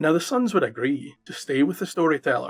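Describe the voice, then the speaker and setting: Moderate-paced speech in a Scottish accent, with music in the background. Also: man. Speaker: storyteller. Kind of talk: folk tale narration.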